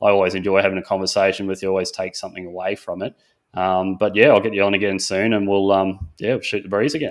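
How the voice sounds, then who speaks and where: A man with an Australian accent speaks at a very fast pace. His voice is fairly low and his intonation fairly even. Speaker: podcast host. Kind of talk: casual interview.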